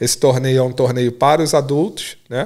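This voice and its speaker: On a very clean recording with a silent background, a man speaks at a moderate pace and medium pitch, with a dark, mellow tone and fairly even intonation. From Rio de Janeiro. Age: 40s. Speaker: IT professional and investor. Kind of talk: podcast interview.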